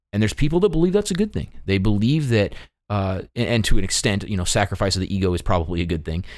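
A man speaks in a fairly low pitch with an animated tone. The recording is very clean, with a silent background. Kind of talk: casual chat. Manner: joking, animated.

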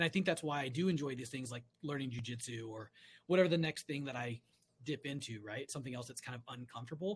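A man with an American accent talks at a very fast pace in a medium, somewhat breathy voice. His pitch varies in an ordinary way while his loudness swings widely. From California. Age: 40s. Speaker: fly-fisherman and hunter. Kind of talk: casual chat.

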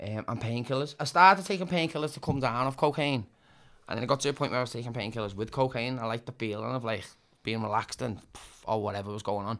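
Speaking at a very fast pace in a Liverpool accent, the voice shows ordinary pitch variation on a very clean recording with a silent background. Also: man, medium pitch for a man. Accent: Scouse (Liverpool). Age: 30s. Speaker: recovering addict. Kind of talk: casual interview chat. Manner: energetic.

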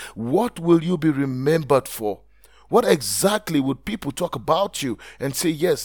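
Over music in the background, a warm-toned voice moves through very wide pitch swings. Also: man. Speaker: podcast host, blogging coach. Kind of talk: pep talk. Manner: earnest, motivational, direct address to listener; emphatic, rhetorical questions, warm and encouraging.

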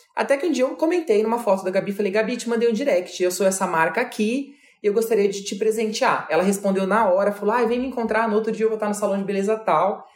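Talking at a very fast pace with hardly any pauses, this voice shows ordinary pitch variation over noticeable background noise. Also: man, high pitch for a man. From Brazil, Mato Grosso. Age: 30s. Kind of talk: interview.

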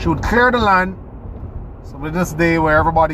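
A man's voice against noticeable background noise. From Jamaica, rural St. Ann parish. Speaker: personal development podcaster. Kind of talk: solo monologue answering listener question. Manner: halting, repeats words.

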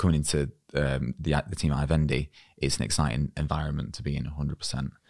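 A man speaks with vocal fry in a very deep, low pitch. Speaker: podcast host. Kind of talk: interview.

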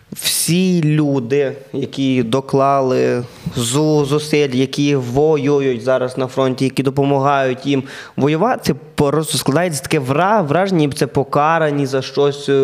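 A man speaks at a very slow pace with fairly high pitch and very even loudness. Noticeable background noise is present. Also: fairly even intonation. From western Ukraine. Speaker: comedian and podcast host. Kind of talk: casual chat.

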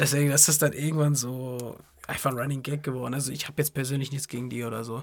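A man races through his words very fast, his pitch sitting fairly high. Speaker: podcast host. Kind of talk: casual chat. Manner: animated.

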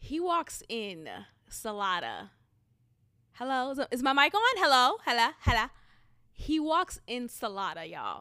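In an American accent, a woman uses a high, raised, projected voice with a bright, sharp tone, an animated delivery, and very wide pitch swings. She moves at a fairly slow pace with long, frequent pauses, on a very clean recording with a silent background. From Boston. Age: 30s. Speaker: podcast host. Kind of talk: casual solo monologue.

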